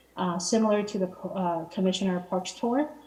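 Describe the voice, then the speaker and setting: Noticeable background noise runs under the recording. A woman speaks with a medium pitch. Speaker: city arts commissioner. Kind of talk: public meeting report. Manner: fast; halting, many fillers.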